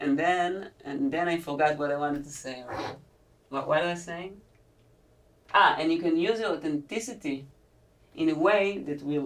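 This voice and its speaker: A woman with an Israeli accent speaks at a fairly low pitch with lively intonation. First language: Hebrew. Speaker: podcast host. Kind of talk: podcast interview. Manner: halting.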